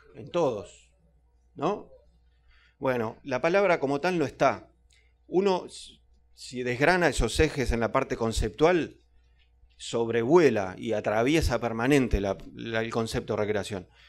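A man's lively intonation at a fairly slow pace, with long, frequent pauses and faint music in the background. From Uruguay. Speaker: cultural manager; public panelist. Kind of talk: panel talk. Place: classroom. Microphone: handheld.

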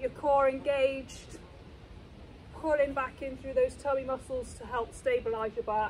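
A woman with a British accent speaks at a moderate pace in a high voice, with fairly even intonation and big swings in loudness. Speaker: fitness instructor. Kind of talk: live-cued workout coaching, counting reps and talking learners through each move. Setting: exercise studio or gym. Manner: brisk rhythmic cueing.

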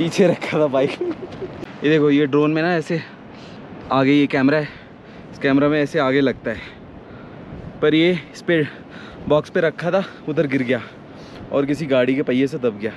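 A man speaks with fairly even intonation and long, frequent pauses. The sound is dry with no echo, over light background noise. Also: fairly slow pace. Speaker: motorcycle travel vlogger. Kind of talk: casual vlog chat. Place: open country. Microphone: phone near.

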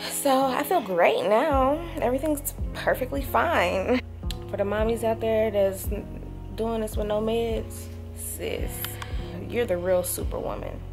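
There is clear music in the background as a woman speaks. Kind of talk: casual vlog chat. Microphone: phone near.

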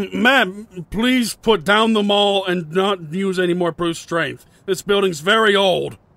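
A man's cartoonish character voice, high in pitch, at a fairly slow pace with hardly any pauses. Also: ordinary pitch variation. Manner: nervous, exasperated.

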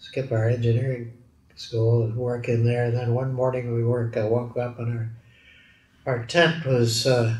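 Somewhat breathy and medium in pitch, a man speaks with a Canadian accent in a monotone, flat way. His pace is fairly slow, and room echo is audible. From Edmonton, Alberta, Canada. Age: 80s+. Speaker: metallurgist and steel industry pioneer. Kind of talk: oral history interview answer. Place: office.

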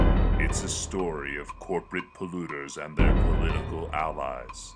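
The speech moves at a fairly slow pace, with big swings in loudness and music in the background. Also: man. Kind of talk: movie trailer narration.

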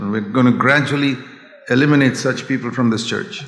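The pace is moderate. Room echo can be heard. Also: man. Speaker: preacher. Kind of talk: sermon. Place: church. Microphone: podium.

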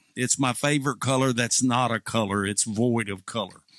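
A man's voice sounds dry with no echo against a quiet background. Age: 60s. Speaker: pastor and video creator. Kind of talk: sarcastic political monologue to camera. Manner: casual, hesitant with fillers. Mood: sarcastic, mocking. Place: home room. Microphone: studio mic.

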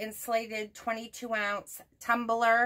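In a quiet background, a woman speaks with a bright, sharp tone. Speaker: haul vlogger. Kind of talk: casual vlog chat. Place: home room.

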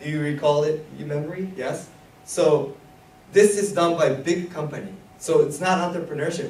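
Amid noticeable background noise, a high-pitched man speaks at a moderate pace with big swings in loudness. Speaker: workshop instructor. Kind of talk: lecture. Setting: stage with audience. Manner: animated.

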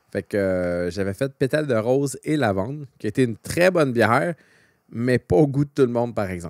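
A man with a Quebec accent and lively intonation, dry sound with no echo over a quiet background. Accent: Québécois French. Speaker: podcast co-host. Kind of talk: casual chat. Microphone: studio mic.

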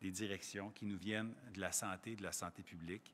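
This is a man speaking. His pace is fairly slow. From Quebec. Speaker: provincial education minister. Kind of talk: press conference. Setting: in a school. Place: hall. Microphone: podium.

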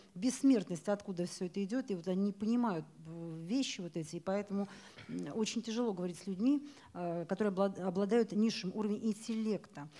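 A woman's voice comes through with a dark, mellow tone and is somewhat breathy. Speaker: event presenter; presenter. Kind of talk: event moderation. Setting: bookstore stage with audience. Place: hall. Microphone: handheld.

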